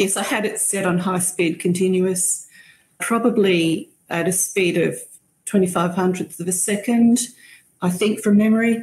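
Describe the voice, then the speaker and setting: A woman with an Australian accent speaks at medium pitch and a moderate pace, somewhat breathy, with fairly even intonation. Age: 60s. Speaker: bird photographer. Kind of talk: casual chat.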